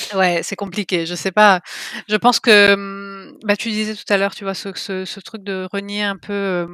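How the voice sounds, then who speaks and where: In a slight Italian accent, a woman with a medium pitch and a bright, sharp tone speaks at a fairly slow pace with monotone, flat intonation and big swings in loudness, in a dry, close sound with no echo. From Italy. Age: 30s. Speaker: novelist. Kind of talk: interview.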